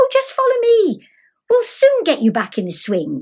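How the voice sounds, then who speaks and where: In a put-on character voice, a woman squeaks at an extremely high pitch. She keeps a moderate pace. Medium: read story. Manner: breezy, confident.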